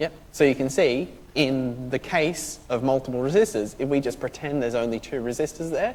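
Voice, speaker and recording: Speaking at a fairly quick pace, a man uses a medium pitch. His pitch varies in an ordinary way. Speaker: university lecturer. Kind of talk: lecture. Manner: fast; loud.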